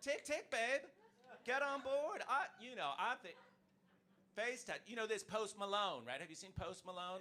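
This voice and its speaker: A man with an American accent speaks at a moderate pace in a raised, projected voice with an animated tone. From United States. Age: 50s. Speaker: stand-up comedian. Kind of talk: stand-up. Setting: stage with audience.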